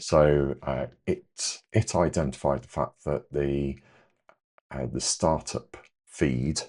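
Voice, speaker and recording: Quiet and very slow, a man with an English accent speaks at a very deep, low pitch with fairly even intonation. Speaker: amateur repairer, repair cafe organiser. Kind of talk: tutorial. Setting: home workshop, late at night. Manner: hesitant, many fillers.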